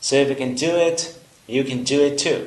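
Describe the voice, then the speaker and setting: A man with a Vietnamese accent, fairly high pitch and ordinary pitch variation, amid audible room echo and noticeable background noise. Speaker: English teacher. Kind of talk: tutorial.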